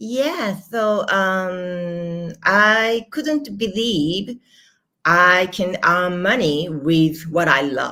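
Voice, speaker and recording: A woman talks at a very slow pace with a Japanese accent. Her tone is bright and sharp. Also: medium pitch for a woman, lively intonation. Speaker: manifestation and money coach. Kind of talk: interview conversation. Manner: halting.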